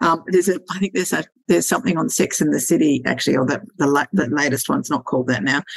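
In an Australian accent, a woman talks at a very fast pace, the sound dry and close with no echo. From Sydney, Australia. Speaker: lingerie stylist and business mentor. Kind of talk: casual interview chat.

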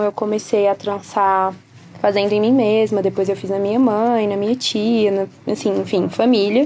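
Pitched fairly high, a woman talks at a moderate pace in an ordinary speaking voice. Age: 20s. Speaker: beauty salon owner. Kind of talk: interview.

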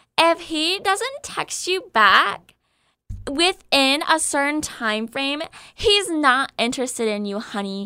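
In a put-on character voice, a woman talks slowly at a high pitch, with lively intonation and a bright, sharp tone.

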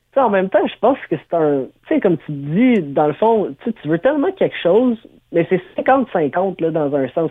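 A man speaks high in pitch at a fairly slow pace. His voice makes very wide pitch swings and big swings in loudness. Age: 30s. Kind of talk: interview.

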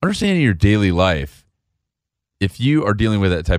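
A speaker with an American accent talks at a fairly quick pace, using an ordinary speaking voice. The intonation is lively, and the recording is very clean with a silent background. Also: man. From Chicago. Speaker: Marine veteran and author. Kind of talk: interview storytelling.

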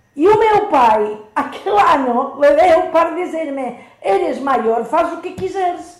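A woman speaks very slowly in an extremely high voice, her pitch swinging very widely. Room echo is audible around her. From Spain, Majorca. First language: Spanish or Catalan (speaking Portuguese). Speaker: nun. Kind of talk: radio interview.

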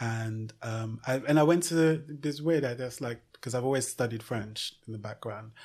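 In a very clean recording with a silent background, a man talks at a moderate pace in a somewhat breathy voice with ordinary pitch variation. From Nigeria (Lagos) and UK (London). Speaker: fashion entrepreneur. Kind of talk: interview. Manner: halting, many fillers and repetitions.

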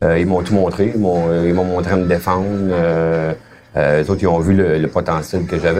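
A man's very deep, low voice at a moderate pace amid noticeable background noise. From Quebec, Hull (Gatineau). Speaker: former gang member. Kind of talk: interview testimony. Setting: restaurant. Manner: halting.

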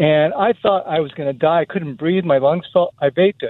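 A man talks at a fairly quick pace in a normal speaking voice. His pitch sits fairly high and varies in an ordinary way. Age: 60s. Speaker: caller. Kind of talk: phone-in call.

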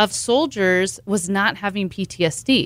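A woman with a plain, everyday voice speaks in a medium pitch with lively intonation, on a very clean recording with a silent background. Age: 40s. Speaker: ketamine clinic owner and doctor. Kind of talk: interview.

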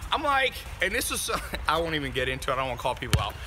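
Extremely rapid talking from a man, with clear noise behind him. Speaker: podcast host. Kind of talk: angry rant. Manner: loud, fired-up, indignant; fast, profane, punchy and repetitive.

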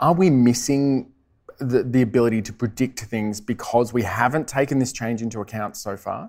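Medium pitch, moderate pace and ordinary pitch variation from a man. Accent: Australian. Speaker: meteorologist and TV weather presenter. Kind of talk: live interview. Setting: stage with audience. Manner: enthusiastic.

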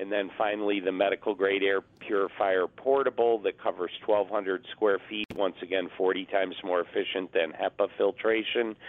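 An ordinary speaking voice at a moderate pace, fairly even in intonation, with hardly any pauses. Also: man, fairly low pitch for a man. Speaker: duct cleaning business owner. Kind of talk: promotional radio segment.

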